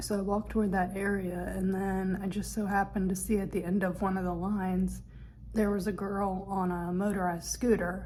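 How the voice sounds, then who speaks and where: A woman at medium pitch with monotone, flat intonation, somewhat breathy, at a fairly quick pace, with audible room echo. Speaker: vlogger, film and TV actor. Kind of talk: travel vlog. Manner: casual, with hesitations.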